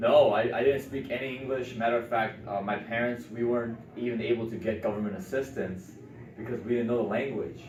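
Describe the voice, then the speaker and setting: A man with a medium pitch speaks at a fairly quick pace with fairly even intonation. Noticeable background noise and audible room echo are present. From Chicago area, US (immigrated from South Korea at five). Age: 20s. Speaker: real estate entrepreneur. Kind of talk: interview.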